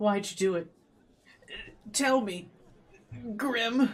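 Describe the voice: A whiny, fairly high-pitched put-on character voice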